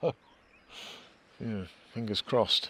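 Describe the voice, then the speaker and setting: Here a man speaks at a moderate pace. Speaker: wild camping vlogger. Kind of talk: outdoor vlog narration. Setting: outdoors. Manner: casual, hesitant.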